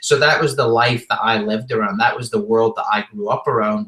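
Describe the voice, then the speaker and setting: Over noticeable background noise, someone with a Scottish accent speaks fairly quickly in a flat, monotone way. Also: man. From Scotland. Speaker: entrepreneur and rock musician. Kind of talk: interview. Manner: casual.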